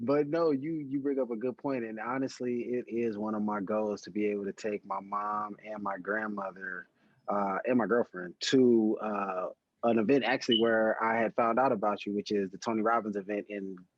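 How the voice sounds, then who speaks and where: In an ordinary speaking voice, a man talks at a moderate pace with medium pitch and fairly even intonation. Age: 30s. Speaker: podcast host. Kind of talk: casual chat.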